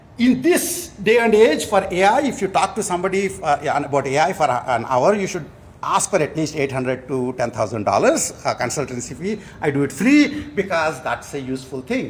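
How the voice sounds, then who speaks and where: In a somewhat breathy voice with an Indian accent, a man speaks fairly quickly with hardly any pauses and very wide pitch swings, and audible room echo can be heard. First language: Telugu. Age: 60s. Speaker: professor. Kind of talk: award lecture. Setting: conference hall with audience. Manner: halting, many fillers.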